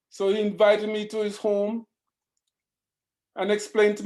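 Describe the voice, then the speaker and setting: This man's voice sits high for a man and stays flat and monotone throughout. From Jamaica. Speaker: dentist, alumnus panelist. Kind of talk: panel discussion, personal story. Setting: video call.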